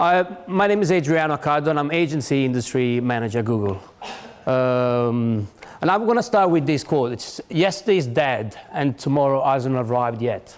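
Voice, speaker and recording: Using lively intonation, a man with a non-native accent and a fairly high voice speaks at a moderate pace. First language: not English. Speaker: tech company industry manager, conference speaker. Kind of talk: conference talk. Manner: halting, many restarts.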